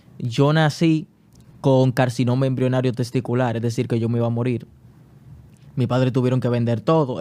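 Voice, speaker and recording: The voice belongs to a man with a medium pitch. It carries a dark, mellow tone. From Dominican Republic, Santo Domingo. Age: 20s. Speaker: writer and academic. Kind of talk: podcast interview.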